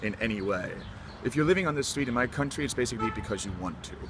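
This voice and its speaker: A man talks with lively intonation while noticeable background noise plays behind him. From Denmark. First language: Danish. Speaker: university student. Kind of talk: casual interview. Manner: hesitant, many fillers.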